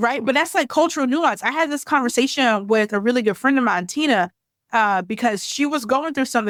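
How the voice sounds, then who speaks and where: Loud and animated, a woman speaks at a high pitch with lively intonation. The recording is very clean with a silent background, and the sound is dry and close with no echo. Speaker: activist and guest. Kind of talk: casual chat.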